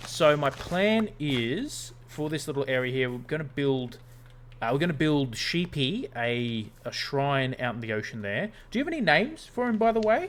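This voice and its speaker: A man with an Australian accent talks at a moderate pace. His pitch is fairly high and his intonation lively. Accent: Australian, noticeable to viewers. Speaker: gaming streamer. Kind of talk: casual gameplay livestream chat. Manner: casual, hesitant with fillers.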